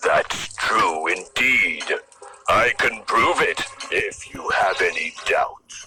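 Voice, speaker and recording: A man's put-on character voice at a very slow pace, faint music in the background. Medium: read story. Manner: blustering, boastful.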